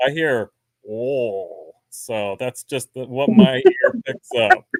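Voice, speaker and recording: The speaker has a New Jersey accent. The pace is very slow. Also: man, medium pitch for a man, big swings in loudness, dry, close sound with no echo. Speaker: beekeeper. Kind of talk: casual chat.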